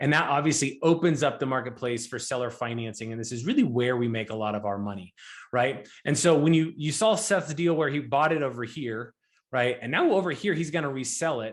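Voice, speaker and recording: The background is quiet here. A man's voice sits at a medium pitch. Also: fairly quick pace. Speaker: real estate investor and note investing teacher. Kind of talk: educational presentation. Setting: live online event for students. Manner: fast.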